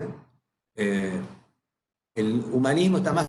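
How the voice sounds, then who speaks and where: A man with an Argentine accent speaks in a medium pitch with a dark, mellow, somewhat breathy tone and lively intonation. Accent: Rioplatense Argentine Spanish. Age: 70s. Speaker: psychologist. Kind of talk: lecture. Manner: conversational, informal.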